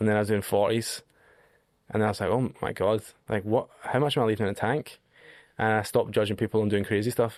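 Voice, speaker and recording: A man with a Scottish accent, fairly low in pitch, at a very fast pace broken by long, frequent pauses. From Scotland. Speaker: long-distance hiker. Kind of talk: podcast interview. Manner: animated.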